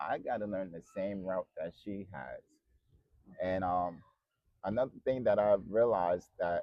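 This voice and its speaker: A man speaks at a fairly slow pace and a fairly low pitch, with ordinary pitch variation. Long pauses come often. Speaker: vlogger. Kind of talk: casual chat.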